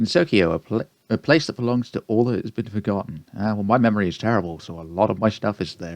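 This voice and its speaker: Against a quiet background, a man with a British accent speaks at a very fast pace in a fairly low pitch. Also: ordinary pitch variation, dry, close sound with no echo. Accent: British accent, self-described. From Britain. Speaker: gaming YouTuber. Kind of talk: let's play commentary, reading game dialogue aloud. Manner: casual, self-deprecating.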